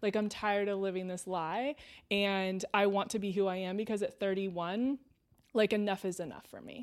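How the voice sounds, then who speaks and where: A woman with a Californian accent speaks at a moderate pace with fairly even intonation, in a very clean recording with a silent background. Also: medium pitch for a woman. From Southern California. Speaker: former athlete and sports reporter. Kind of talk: casual chat. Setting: at home.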